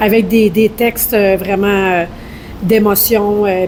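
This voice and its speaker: The voice is slow, very slow, with monotone, flat intonation. Noticeable background noise is present. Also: woman. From Quebec. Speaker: rock band singer. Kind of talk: podcast interview.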